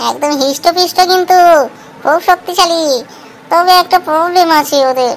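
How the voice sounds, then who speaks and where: Against clear background noise, a cartoonish character voice speaks at an extremely high pitch and a moderate pace. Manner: lively, chatty.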